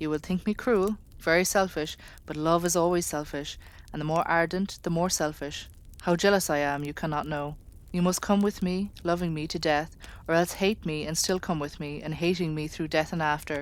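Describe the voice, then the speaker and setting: The recording is very clean and the background silent. a normal speaking voice goes at a moderate pace, its intonation fairly even. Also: woman, fairly low pitch for a woman. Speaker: audiobook reader. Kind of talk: audiobook reading, ASMR sleep story. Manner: soft-spoken.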